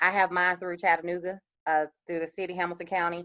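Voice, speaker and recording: A woman with an American accent talks at a fairly quick pace. The sound is dry and close with no echo, over a quiet background. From US South, Columbus, Georgia. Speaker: small business owner, panel speaker. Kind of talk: panel Q&A. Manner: fast.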